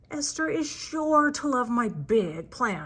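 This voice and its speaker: Using a put-on character voice, a woman speaks in a high pitch at a fairly slow pace. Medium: read story.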